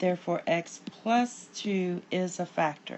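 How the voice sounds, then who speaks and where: A woman speaks with a fairly low pitch. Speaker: math teacher. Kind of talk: tutorial. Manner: casual with fillers.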